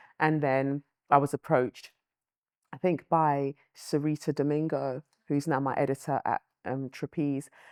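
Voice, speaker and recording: Monotone, flat intonation in a London accent at a moderate pace, with long, frequent pauses, on a very clean, dry, close recording with no echo and a silent background. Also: woman, very deep, low pitch for a woman. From London, UK (born Lagos, Nigeria, moved at five). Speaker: writer and presenter. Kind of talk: interview.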